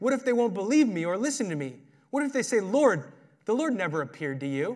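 A whiny, put-on character voice with very wide pitch swings, delivered at a very fast pace. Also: man, high pitch for a man. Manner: whiny, complaining.

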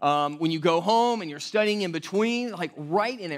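Loud and high-pitched, a man speaks at a moderate pace with lively intonation on a very clean recording with a silent background. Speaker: pastor. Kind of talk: sermon.

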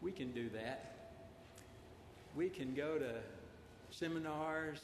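A fairly high-pitched man with a Southern US accent and ordinary pitch variation, amid noticeable background noise and audible room echo. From Arkansas. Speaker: preacher. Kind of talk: sermon. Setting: church.

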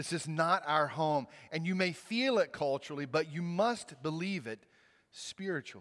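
This voice carries a Southern US accent. It moves at a fairly slow pace with lively intonation. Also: man. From Mississippi, US South. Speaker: pastor. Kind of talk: sermon.

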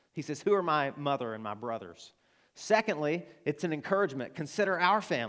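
Someone with an Arkansas accent talks at a fairly quick pace with very wide pitch swings, on a very clean recording with a silent background. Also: man, fairly high pitch for a man. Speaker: pastor. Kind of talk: sermon. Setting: church.

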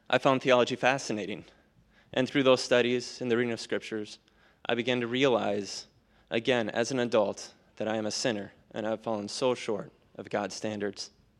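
This man has a normal speaking voice at a medium pitch. He talks at a fairly quick pace with fairly even intonation. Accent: American. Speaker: baptism candidate. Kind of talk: testimony. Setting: church.

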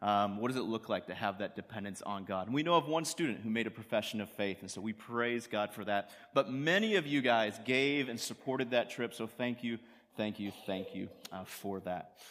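Fairly quick in pace, a man talks at medium pitch with ordinary pitch variation. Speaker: youth pastor. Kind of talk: sermon. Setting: church.

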